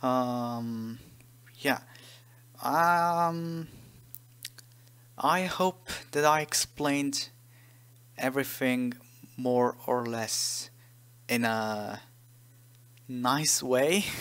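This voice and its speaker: A very slow delivery with long, frequent pauses, on a very clean recording over a silent background. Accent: non-native. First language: not English. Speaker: game modder, tutorial maker. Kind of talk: tutorial. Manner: hesitant, many fillers.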